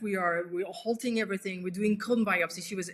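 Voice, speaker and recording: A woman with a French accent speaks in a bright, sharp tone. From western France. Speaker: solo mother by choice. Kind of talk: interview. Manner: halting.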